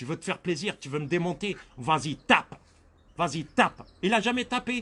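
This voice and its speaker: A man's high-pitched, bright and sharp voice at a moderate pace, with very wide pitch swings and big swings in loudness. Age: 60s. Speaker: victim of racial harassment. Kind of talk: interview testimony.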